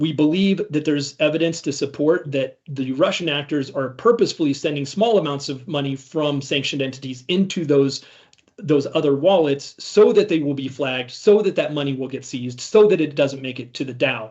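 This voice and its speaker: A man with an American accent speaks at a fairly quick pace. His pitch is fairly high, with ordinary variation. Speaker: cybersecurity ransomware responder, conference speaker. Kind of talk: conference talk. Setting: stage with audience. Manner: halting, many fillers and restarts.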